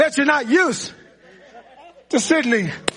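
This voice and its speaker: A man speaks in a raised, projected voice with an animated tone and lively intonation. His pace is fairly quick, with noticeable background noise behind him. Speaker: preacher. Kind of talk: sermon. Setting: church with live congregation. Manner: animated, preaching in full flow, call-and-response; repetitive, emphatic, building intensity.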